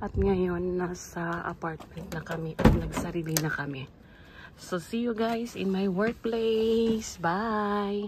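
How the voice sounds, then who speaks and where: Over noticeable background noise, a woman at a medium pitch talks at a very slow pace with ordinary pitch variation. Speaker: vlogger, caregiver. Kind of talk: vlog narration. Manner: casual, upbeat.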